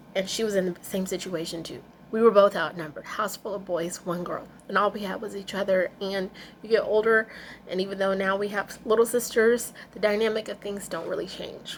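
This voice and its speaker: A woman of medium pitch at a fairly quick pace, with fairly even intonation. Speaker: vlogger. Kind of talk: personal vlog rant. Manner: fast.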